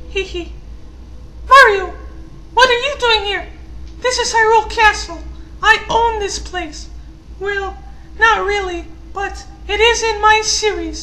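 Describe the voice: Someone uses a put-on character voice at an extremely high pitch, speaking fairly slowly with long, frequent pauses over clear background noise.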